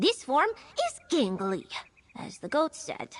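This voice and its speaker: A female-sounding put-on character voice, high in pitch with very wide swings, moves at a fairly slow pace. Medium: video game. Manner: speaks of herself in the third person.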